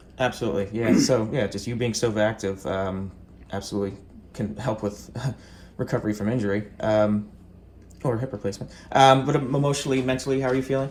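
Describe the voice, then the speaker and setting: With an American accent, a man speaks at a very fast pace yet leaves long, frequent pauses. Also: medium pitch for a man, ordinary pitch variation. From New Jersey. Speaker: university student. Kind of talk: interview questions.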